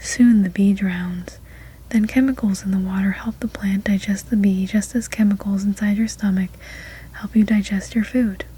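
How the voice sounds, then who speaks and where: The speaker is soft-spoken, with a relaxed tone. The pace is moderate. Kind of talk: soft-spoken ASMR story read-aloud. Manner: soft-spoken, relaxed.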